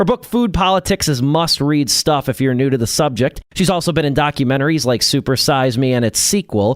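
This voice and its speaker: A man with a normal speaking voice talks at a fairly quick pace with lively intonation, hardly any pauses and very even loudness, in a very clean recording with a silent background and a dry, close sound with no echo. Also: fairly high pitch for a man. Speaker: radio host. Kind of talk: radio interview questions.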